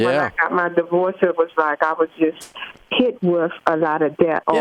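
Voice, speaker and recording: A woman speaks at a fairly low pitch with fairly even intonation and very even loudness. The sound is dry and close with no echo, though noticeable background noise is present. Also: moderate pace. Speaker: caller to a money advice show. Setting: phone.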